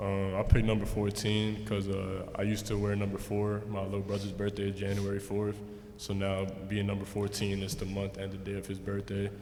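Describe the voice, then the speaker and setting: With noticeable background noise and audible room echo, a man speaks fairly quickly in a fairly low, monotone voice with flat intonation. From US Northeast (New York/New Jersey area). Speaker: basketball rookie. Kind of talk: press conference.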